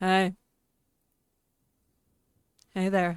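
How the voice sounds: In a put-on character voice, a female-sounding speaker uses a husky tone at a medium pitch.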